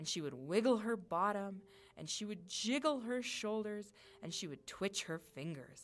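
This is plain reading aloud. Its intonation stays lively.

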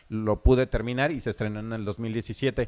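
A man speaks at a moderate pace and medium pitch in a plain, everyday voice. The sound is dry and close, with no echo. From Mexico, Michoacán (Zacapu). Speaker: filmmaker. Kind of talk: casual interview.

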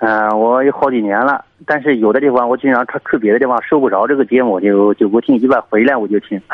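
Hardly pausing, a man speaks at a very fast pace in a medium-pitched voice with very even loudness and fairly even intonation. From southern China. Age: 30s. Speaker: caller. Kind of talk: phone-in advice call. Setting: phone call.

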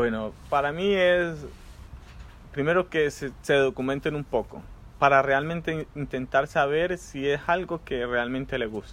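A man in a Colombian accent talks at a fairly slow pace and a fairly high pitch, with ordinary pitch variation. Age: 30s. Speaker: migrant guest. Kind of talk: casual chat.

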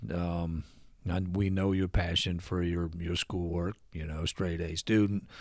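In a Midwestern US accent, the speaker delivers flat, monotone lines at a fairly slow pace on a very clean recording with a silent background. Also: man, very deep, low pitch for a man. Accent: US Midwest. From Ohio (Lima). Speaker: retired father of host. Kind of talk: casual chat. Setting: at home. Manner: halting.

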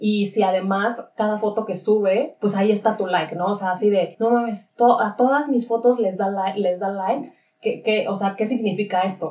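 With a Mexican accent, a woman at medium pitch speaks at a moderate pace with fairly even intonation. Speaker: podcast co-host. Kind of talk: casual chat.

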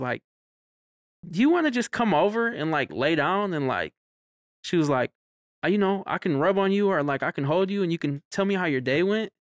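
An ordinary speaking voice from a man with an American accent, lively intonation, a fairly quick pace and a dry, close sound with no echo. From Mexican heritage, US. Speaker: podcast co-host and party promoter. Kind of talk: casual chat.

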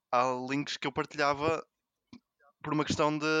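Against a quiet background, a man with a fairly high pitch talks very fast in a flat monotone, the sound dry and close with no echo. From Porto, northern Portugal. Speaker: mathematician. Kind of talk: casual chat.

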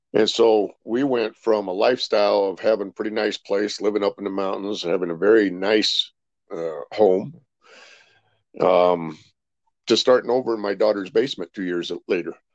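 In an American accent, a man with an unremarkable speaking voice talks at a moderate pace, his pitch fairly low and his intonation fairly even. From California, Rancho Cucamonga. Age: 60s. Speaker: insurance consultant and army veteran. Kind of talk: casual interview.

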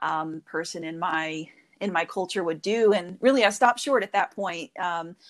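With an American accent, a woman talks at a moderate pace in a fairly low voice, her pitch moving in an ordinary way.

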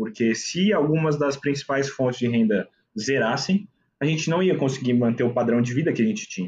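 A man speaks at a medium pitch with lively intonation. His delivery is fairly quick and somewhat breathy. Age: 20s. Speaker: investment consultant. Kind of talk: casual chat.

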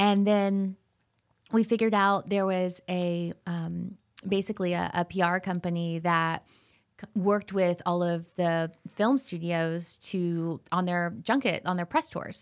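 A woman with an American accent has an unremarkable speaking voice, fairly low in pitch with fairly even intonation. She speaks at a fairly slow pace on a very clean recording with a silent background. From Florida. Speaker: TV host and actress. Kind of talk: casual interview chat.

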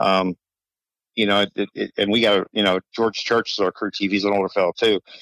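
Fairly quick speech with an American accent, monotone and flat in intonation, at very even loudness, with a dry, close sound and no echo. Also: man, fairly low pitch for a man. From Delaware, US. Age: 60s. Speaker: racing mechanic. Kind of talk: interview.

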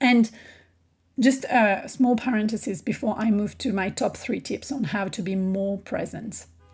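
A woman with a French accent talks at a fairly slow pace. Her voice is somewhat breathy, fairly high in pitch, with ordinary variation. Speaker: podcast host, business coach. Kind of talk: solo podcast monologue.

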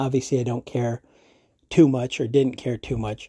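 A man talks at a fairly quick pace in a medium pitch. His tone is dark and mellow, somewhat breathy, with a dry, close sound and no echo. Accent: American. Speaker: podcast host. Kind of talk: angry rant. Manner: animated, sarcastic.

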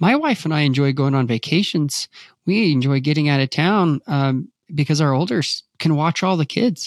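A man's normal speaking voice at fairly high pitch, with ordinary pitch variation, very even loudness and a moderate pace, in a dry, close sound with no echo on a very clean recording with a silent background. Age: 40s. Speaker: work-life balance coach and author. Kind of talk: interview.

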